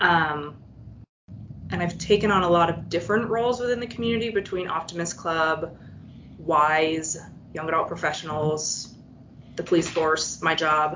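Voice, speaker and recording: Pausing long and often, a woman speaks at a moderate pace with a fairly low pitch and ordinary pitch variation amid noticeable background noise. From Vermont, near Canadian border. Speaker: home care and hospice worker. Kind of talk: casual interview.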